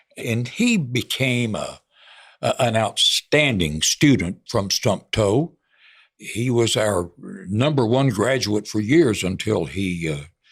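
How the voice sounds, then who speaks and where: The pace of this man's speech is very slow. Still, his intonation sounds lively. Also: medium pitch for a man. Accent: Texan. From Texas, Hunt County (northeast Texas). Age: 80s+. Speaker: veteran broadcaster. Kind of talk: interview.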